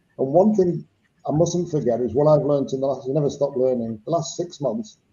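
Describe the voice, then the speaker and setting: This man's voice is somewhat breathy and fairly quick. His pitch varies in an ordinary way. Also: fairly high pitch for a man. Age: 70s. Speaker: former rugby player and coach. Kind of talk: casual chat. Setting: live video stream.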